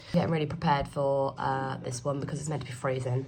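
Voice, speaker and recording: A woman with a British accent speaks at a very deep, low pitch with fairly even intonation. Audible room echo and noticeable background noise are present. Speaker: travel vlogger. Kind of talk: casual travel vlog.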